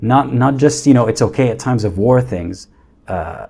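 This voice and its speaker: The man's voice is somewhat breathy, with a dark, mellow tone, medium pitch, and ordinary pitch variation. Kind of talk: casual livestream talk. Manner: stuttering, halting.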